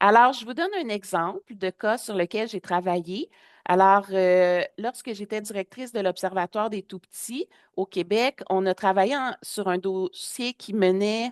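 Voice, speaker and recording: Against a quiet background, a woman with a Quebec accent talks at a fairly slow pace in a dry, close sound with no echo. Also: medium pitch for a woman, ordinary pitch variation. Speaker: public health advocate and trainer. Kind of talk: webinar presentation.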